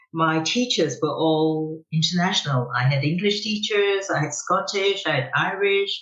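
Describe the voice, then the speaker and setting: With lively intonation, a woman talks in a fairly low pitch at a very even loudness. Noticeable background noise is present. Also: moderate pace, hardly any pauses. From Macau. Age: 70s. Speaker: business executive. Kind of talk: podcast interview.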